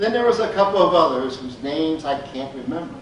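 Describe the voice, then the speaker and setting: A man speaks at a moderate pace in a high pitch, his voice swinging very widely up and down. There is audible room echo and noticeable background noise. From Appalachia. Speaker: storyteller. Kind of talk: storytelling.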